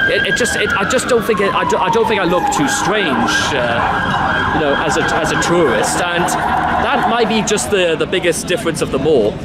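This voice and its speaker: High-pitched male speech at a moderate pace with lively intonation, very even loudness and hardly any pauses, amid noticeable background noise and audible room echo. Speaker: travel vlogger. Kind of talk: casual vlog monologue. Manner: halting, many fillers and restarts.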